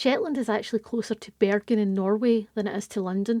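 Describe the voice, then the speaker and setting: Fairly high in pitch with a dark, mellow tone, a woman speaks at a moderate pace in a Scottish accent, keeping her intonation fairly even. The sound is dry and close with no echo, on a very clean recording against a silent background. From Scotland. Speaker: podcast host and tour guide. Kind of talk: podcast narration.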